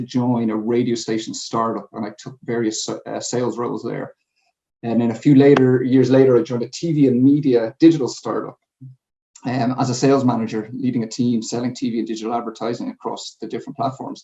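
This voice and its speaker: This man has a Dublin accent, a medium pitch and a dark, mellow tone. He talks at a fairly quick pace with monotone, flat intonation. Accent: Dublin Irish. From Ireland, Dublin. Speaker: sales manager. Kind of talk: conference presentation. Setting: home. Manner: hesitant fillers.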